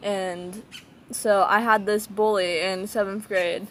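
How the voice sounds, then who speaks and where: Her intonation monotone and flat, a woman with an American accent speaks at a medium pitch. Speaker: vlogger. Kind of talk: casual personal vlog.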